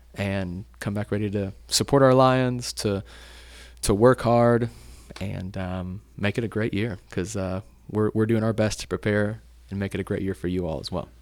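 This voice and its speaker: In a Tennessee accent, a man talks at a moderate pace with fairly even intonation and a fairly low pitch. The recording is very clean, with a silent background. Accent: Southern US (Tennessee). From East Tennessee, Chattanooga area. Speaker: school athletic director. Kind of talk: casual chat.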